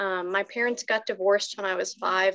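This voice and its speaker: The speech comes at a moderate pace over a quiet background. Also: woman. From Watauga County, North Carolina. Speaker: recovery program coordinator. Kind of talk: personal testimony. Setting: video call. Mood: reflective, earnest. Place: home room. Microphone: video call.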